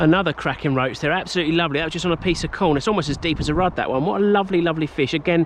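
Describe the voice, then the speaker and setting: A man with an English accent talks at a very fast pace. His voice is high, with ordinary pitch variation. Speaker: angler. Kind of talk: casual talk to camera. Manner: enthusiastic.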